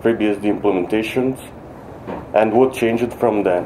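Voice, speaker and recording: Medium-pitched man with a non-native accent, monotone and flat, with audible room echo and noticeable background noise. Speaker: software developer presenting at a conference. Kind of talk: conference talk. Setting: conference stage with audience. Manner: halting, many fillers and restarts.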